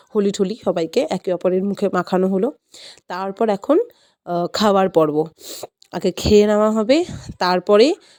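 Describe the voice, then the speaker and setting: A woman talks in a dark, mellow tone at medium pitch with ordinary pitch variation. The sound is dry and close, with no echo. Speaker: lifestyle vlogger. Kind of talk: vlog narration.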